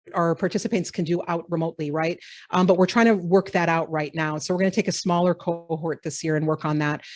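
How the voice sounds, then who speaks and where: On a very clean recording with a silent background, a woman with an American accent talks at a very fast pace in a fairly low pitch, her intonation fairly even. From US Upper Midwest (Minnesota and South Dakota). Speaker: professor. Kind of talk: lecture.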